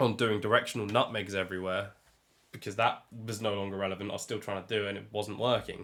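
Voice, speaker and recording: In an English accent, a man speaks at a very fast pace with a fairly low pitch and monotone, flat intonation. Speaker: podcast co-host. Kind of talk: casual chat.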